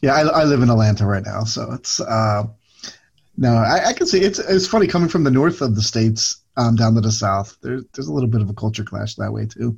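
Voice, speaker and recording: Somewhat breathy, a man talks at a fairly quick pace with an American accent. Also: medium pitch for a man, lively intonation. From Philadelphia. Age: 40s. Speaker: podcast co-host. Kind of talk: casual chat.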